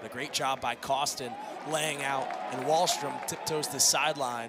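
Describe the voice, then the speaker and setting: At a moderate pace, a man talks with fairly even intonation through noticeable background noise. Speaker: play-by-play commentator. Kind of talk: live play-by-play lacrosse commentary, calling passes and goals in real time. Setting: stadium broadcast booth.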